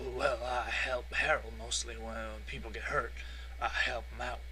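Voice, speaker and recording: A put-on character voice at a moderate pace, set against loud background noise. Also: man. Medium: solo performance. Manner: stammering, hesitant.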